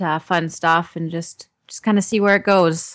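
In a very clean recording with a silent background, a woman uses a normal speaking voice with ordinary pitch variation. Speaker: stage actor. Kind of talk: interview.

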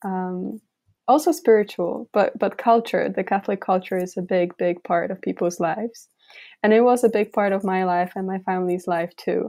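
In a Polish accent, a woman speaks with a dark, mellow tone, the sound dry and close with no echo on a very clean recording with a silent background. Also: medium pitch for a woman, fairly even intonation, moderate pace. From Poland. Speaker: university student, synod delegate. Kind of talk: interview.

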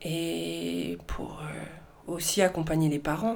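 A woman's voice with vocal fry and audible room echo. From southern France, Marseille. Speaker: film director. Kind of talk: interview.

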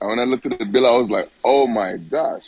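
Someone talks at a fairly quick pace. Noticeable background noise is present. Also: man. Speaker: caller. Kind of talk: casual chat.

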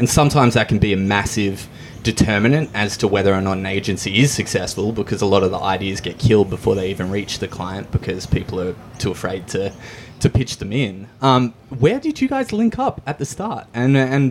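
This man speaks with an Australian accent at a fairly quick pace. His pitch varies in an ordinary way. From Hervey Bay, Queensland, Australia. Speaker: podcast host. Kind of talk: casual interview. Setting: cafe.

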